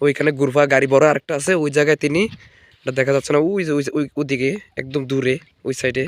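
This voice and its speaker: Pitched fairly high, a man speaks in a plain, everyday voice. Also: fairly even intonation. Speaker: video blogger. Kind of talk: casual vlog chat.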